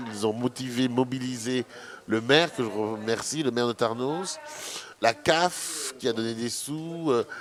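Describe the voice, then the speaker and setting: The speech comes at a fairly slow pace with ordinary pitch variation. Background noise is noticeable. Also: man, medium pitch for a man. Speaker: filmmaker, anti-fatphobia activist. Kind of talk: radio interview.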